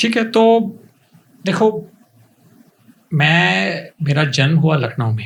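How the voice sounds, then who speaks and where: The speaker's pitch swings very widely, broken by long, frequent pauses. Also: man, fairly high pitch for a man. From India, Pune. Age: 50s. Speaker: coaching institute founder. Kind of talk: interview.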